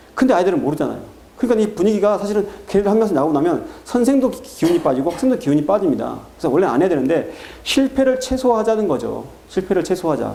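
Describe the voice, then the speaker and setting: A man talks at a very fast pace with a high pitch. His pitch swings very widely over noticeable background noise. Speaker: math academy director. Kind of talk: parent information talk. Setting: seminar with parents.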